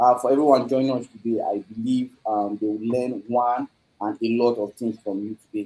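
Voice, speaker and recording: In a dark, mellow tone, a man speaks at a moderate pace with monotone, flat intonation. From Nigeria. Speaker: host of live online blockchain talk series. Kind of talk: live online event hosting. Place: office. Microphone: video call.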